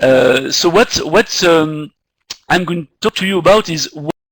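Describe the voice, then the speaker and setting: In a French accent, a man talks at a high pitch and a fairly slow pace, recorded with a dry, close sound and no echo. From France, Paris. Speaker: marketing executive. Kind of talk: lecture. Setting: video call. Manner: halting, many fillers.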